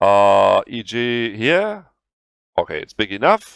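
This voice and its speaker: A man speaks at a very slow pace with very wide pitch swings. The recording is very clean, with a silent background and a dry, close sound with no echo. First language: German. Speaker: video game tutorial creator. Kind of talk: tutorial. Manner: halting.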